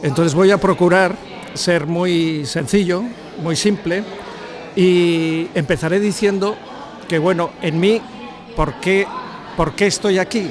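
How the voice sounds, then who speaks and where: At a very slow pace with long, frequent pauses, a man with a high pitch keeps his intonation fairly even over noticeable background noise. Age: 70s. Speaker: football analyst and coach. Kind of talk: talk to bar audience. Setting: bar gathering with audience.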